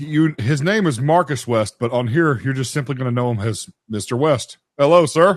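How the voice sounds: A man with a medium-pitched voice talks at a moderate pace with lively intonation.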